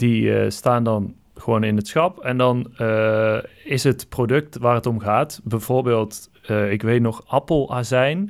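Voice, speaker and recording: Very slow and fairly even in intonation, a man speaks at medium pitch with very even loudness. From Brabant, Netherlands. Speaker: podcast host. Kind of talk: solo podcast monologue; casual phone call. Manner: halting.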